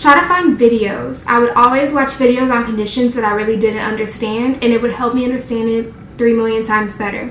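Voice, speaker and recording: A woman talks at a fairly quick pace and fairly high pitch, with hardly any pauses. Audible room echo and noticeable background noise are present. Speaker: nursing student YouTuber. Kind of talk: tutorial. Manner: fast; animated.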